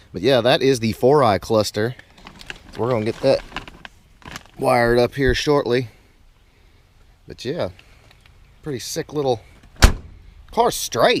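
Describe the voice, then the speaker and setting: Over noticeable background noise, a man with a medium pitch speaks at a fairly slow pace, using ordinary pitch variation and long, frequent pauses. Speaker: car YouTuber. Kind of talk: casual vlog to camera. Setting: home garage. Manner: quiet, keeping voice down.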